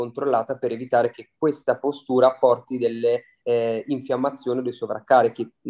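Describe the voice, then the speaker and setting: A man with a dark, mellow tone speaks at medium pitch. His pace is moderate. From Milan, northern Italy. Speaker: osteopath. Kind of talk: podcast interview.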